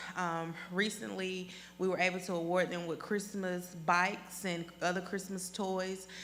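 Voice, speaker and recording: Monotone, flat intonation from a woman at a fairly slow pace, with audible room echo. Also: medium pitch for a woman. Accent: Southern US. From Athens, Georgia (US South). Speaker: school board candidate. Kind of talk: candidate presentation at public meeting. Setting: public board meeting.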